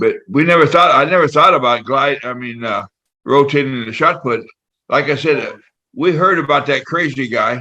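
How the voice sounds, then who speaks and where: This man has a fairly high pitch and a bright, sharp tone, speaking at a moderate pace with ordinary pitch variation. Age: 80s+. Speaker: retired track and field throws coach. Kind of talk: casual interview. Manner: halting, many fillers.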